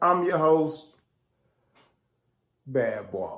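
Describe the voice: A man's fairly bright tone at a slow pace.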